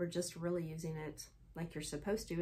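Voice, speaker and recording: A woman speaks fairly quickly at a fairly low pitch. Her voice is somewhat breathy. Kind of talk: casual vlog chat. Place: home room. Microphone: phone near.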